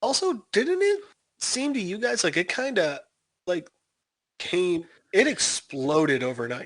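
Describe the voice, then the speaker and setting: A high-pitched man with an American accent talks fairly slowly with very wide pitch swings and long, frequent pauses against a quiet background. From Chicago, US Midwest. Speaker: podcast co-host. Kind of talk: casual chat.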